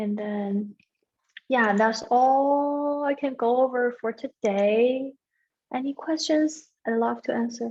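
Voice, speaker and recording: A woman with a non-native accent speaks at a very slow pace. Her voice is high-pitched, with ordinary pitch variation. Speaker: peer accounting tutor. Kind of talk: exam review session. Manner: halting.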